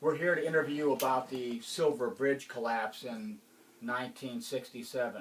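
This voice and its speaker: At a moderate pace, a man with a Chicago accent speaks at medium pitch with ordinary pitch variation. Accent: Midwestern US (Chicago-area). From Gary, Indiana. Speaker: interviewer. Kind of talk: oral history interview.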